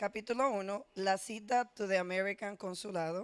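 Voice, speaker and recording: A woman speaks with a Spanish accent at a medium pitch with ordinary pitch variation. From Dominican Republic, San Pedro de Macorís. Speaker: teacher. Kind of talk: personal storytelling and reading aloud.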